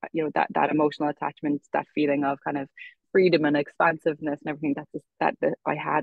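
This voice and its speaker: A very fast pace and fairly even intonation, in a western Irish accent. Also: woman. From Ireland, Galway. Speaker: yoga teacher. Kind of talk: podcast interview. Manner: hesitant, many fillers.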